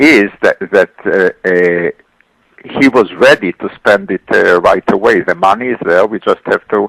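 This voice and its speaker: Speaking at a fairly slow pace with an Israeli accent, a man is heard in a dry, close recording with no echo. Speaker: economist. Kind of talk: radio interview. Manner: halting, many fillers and repeats.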